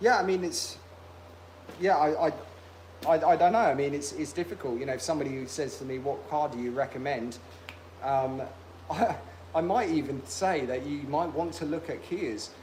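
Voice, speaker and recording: With a British accent and a fairly high pitch, a man speaks at a moderate pace with lively intonation and long, frequent pauses, in audible room echo. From UK. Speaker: car restoration youtuber. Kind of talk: casual livestream chat.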